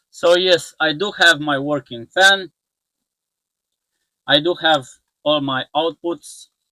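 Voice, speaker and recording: A man with a non-native accent speaks at a fairly high pitch with fairly even intonation. His pace is very slow, broken by long, frequent pauses. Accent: non-native English pronunciation. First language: not English. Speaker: electronics repair youtuber. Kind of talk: tutorial. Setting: workbench. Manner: halting.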